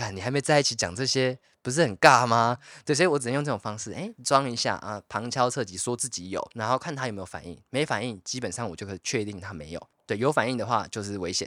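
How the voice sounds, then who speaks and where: A man's bright, sharp voice at medium pitch, lively intonation, big swings in loudness and a very fast pace, in a very clean recording with a silent background and a dry, close sound with no echo. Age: 20s. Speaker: podcast co-host. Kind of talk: casual chat.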